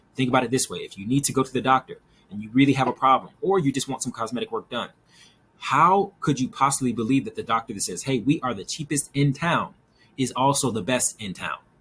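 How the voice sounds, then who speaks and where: A man at medium pitch, very fast and with lively intonation. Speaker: business consultant and agency owner. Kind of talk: tutorial.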